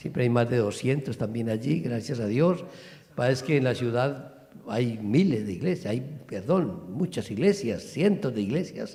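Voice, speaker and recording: A man's somewhat breathy voice with a dark, mellow tone, lively intonation and audible room echo. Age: 60s. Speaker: pastor. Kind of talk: church greeting. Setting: church. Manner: animated.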